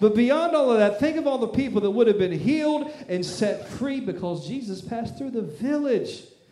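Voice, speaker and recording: This man's voice sits extremely high in pitch, with lively intonation and an animated tone over noticeable background noise. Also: moderate pace. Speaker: pastor. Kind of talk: sermon. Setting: church. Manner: loud, animated.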